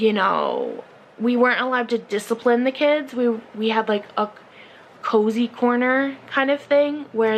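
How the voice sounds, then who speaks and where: A woman speaks at a moderate pace with a fairly high pitch and fairly even intonation. Noticeable background noise is present. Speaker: vlogger. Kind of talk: casual chat. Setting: alone talking to a camera.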